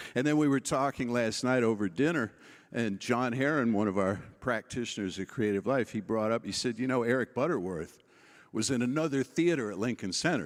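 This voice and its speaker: Fairly quick and medium in pitch, a man talks with an American accent in an unremarkable speaking voice, in a very clean recording with a silent background. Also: ordinary pitch variation. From New York City. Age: 60s. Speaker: keynote speaker, minister. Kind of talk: keynote speech.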